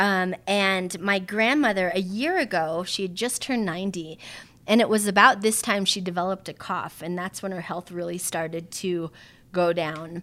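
With an American accent, a woman speaks at a moderate pace in a bright, sharp tone, her medium pitch showing ordinary variation, on a very clean recording with a silent background. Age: 40s. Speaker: handbag designer and emcee. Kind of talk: casual interview chat. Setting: home. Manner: animated.

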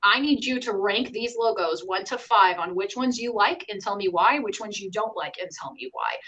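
A woman speaks at a fairly quick pace with hardly any pauses, in a fairly high pitch and ordinary pitch variation. Her loudness swings widely, in an unremarkable speaking voice. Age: 30s. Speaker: sales and marketing director. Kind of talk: casual chat.

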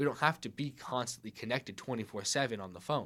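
On a very clean recording with a silent background, a man with an American accent uses a normal speaking voice. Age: 20s. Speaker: audio editor and engineer. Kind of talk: casual chat. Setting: studio.

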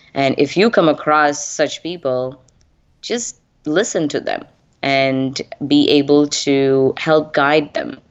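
Slowly, at a very slow pace, a woman speaks in a very deep, low voice with ordinary pitch variation. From India. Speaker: tech training company founder. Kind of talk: interview. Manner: hesitant, many fillers.

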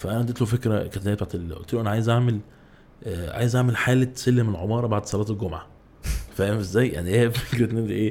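Talking at a very fast pace, a man holds a fairly low pitch with fairly even intonation. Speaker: YouTuber and ad director. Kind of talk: casual chat. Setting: podcast studio.

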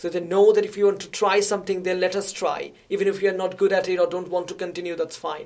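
Words come out at a very fast pace. Background noise is noticeable. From India. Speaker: sociology researcher. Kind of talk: interview.

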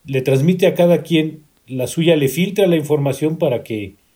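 At a fairly slow pace, a man with a fairly high, somewhat breathy voice and a dark, mellow tone speaks with ordinary pitch variation. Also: long, frequent pauses. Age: 50s. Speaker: guest. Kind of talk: casual chat.

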